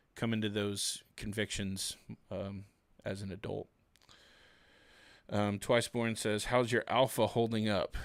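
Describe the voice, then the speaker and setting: With a Southern US accent, a man speaks fairly slowly in a relaxed, flat monotone at a fairly low pitch. Long, frequent pauses break up his speech on a very clean recording with a silent background. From US South. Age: 30s. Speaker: YouTuber and Bible reviewer. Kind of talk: casual livestream chat. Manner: relaxed, many filler words.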